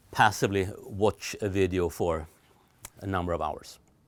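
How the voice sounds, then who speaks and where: A man speaks with a Swedish accent. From Sweden. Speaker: telecom trainer. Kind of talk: recorded lecture. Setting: studio. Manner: hesitant, many fillers.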